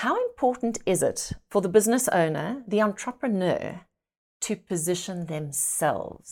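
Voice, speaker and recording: In a very clean recording with a silent background, a woman with an unremarkable speaking voice talks at a fairly slow pace, with medium pitch and lively intonation. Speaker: podcast host. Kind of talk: casual interview.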